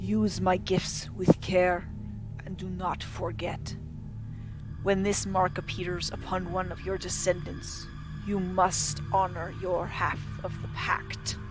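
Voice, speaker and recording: Over loud background noise, a man does a booming put-on character voice at a fairly slow pace. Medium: actual play. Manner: grave, commanding.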